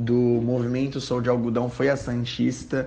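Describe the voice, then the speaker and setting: A man speaks at a fairly slow pace in a medium pitch, with monotone, flat intonation and audible room echo. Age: 20s. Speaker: fashion designer. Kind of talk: personal testimony. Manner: hesitant with fillers.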